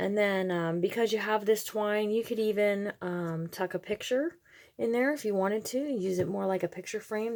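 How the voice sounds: A woman at medium pitch with vocal fry, a slightly mellow tone, ordinary pitch variation and a moderate pace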